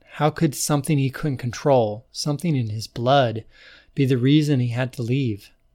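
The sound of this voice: This unforced reading voice has ordinary pitch variation.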